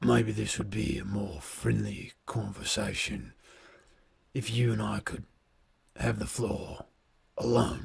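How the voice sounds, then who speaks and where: In a put-on character voice, a man talks at a fairly slow pace in a raspy, fairly low register, leaving long, frequent pauses. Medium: actual play. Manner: smooth, measured.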